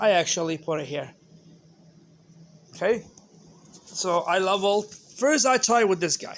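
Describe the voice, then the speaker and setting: A man with a non-native accent speaks in a high pitch. His pace is moderate and his pitch variation ordinary. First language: not English. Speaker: hobbyist maker. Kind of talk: tutorial. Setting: home garage.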